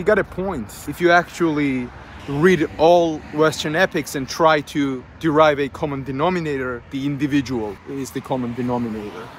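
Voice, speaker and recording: At a moderate pace, a man with a Georgian accent speaks at a fairly high pitch with ordinary pitch variation. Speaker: YouTuber on culture and philosophy. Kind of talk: lecture-style monologue.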